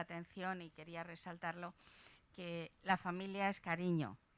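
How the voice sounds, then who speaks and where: A woman speaks at a fairly low pitch and a fairly slow pace in a flat, monotone way. The recording is very clean, the background silent. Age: 70s. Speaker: audience member. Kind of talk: audience question.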